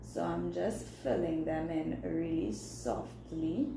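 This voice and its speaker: Against noticeable background noise and audible room echo, a woman with a Trinidadian accent speaks at a very slow pace. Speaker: beauty vlogger and makeup artist. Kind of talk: live makeup tutorial. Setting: livestream. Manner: casual, chatty.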